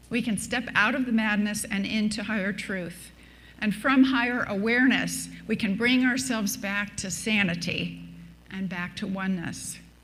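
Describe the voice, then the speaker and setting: A woman speaks at a medium pitch with fairly even intonation and vocal fry. Her moderate pace is heard with audible room echo. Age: 70s. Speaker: minister. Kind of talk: sermon.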